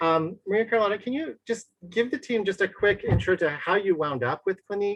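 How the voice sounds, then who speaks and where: A woman talks in a plain, everyday voice with lively intonation. She leaves hardly any pauses. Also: medium pitch for a woman, fairly quick pace. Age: 50s. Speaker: skincare brand educator. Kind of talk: panel moderation and skincare advice.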